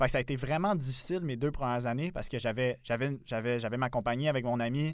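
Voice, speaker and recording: An ordinary speaking voice at a moderate pace with ordinary pitch variation, in a very clean recording with a silent background. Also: man. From Quebec, south shore of Montreal. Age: 20s. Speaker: podcast co-host. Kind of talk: casual chat.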